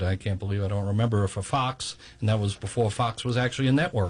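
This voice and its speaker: The man has a New York accent and sounds somewhat breathy. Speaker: video and documentary producer. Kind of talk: radio interview.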